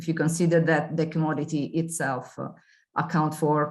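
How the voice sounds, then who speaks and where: A woman's very deep, low voice at a moderate pace, with audible room echo. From Italy. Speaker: consumer organization representative. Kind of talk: webinar presentation. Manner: halting.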